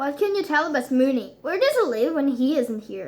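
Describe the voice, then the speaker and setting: A woman's put-on character voice, high in pitch, at a fairly quick pace. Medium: read story. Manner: firm, terse.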